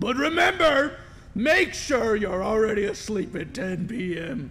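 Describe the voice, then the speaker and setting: Using a put-on character voice with a high pitch, a man speaks at a fairly slow pace over clear background noise. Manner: creepy.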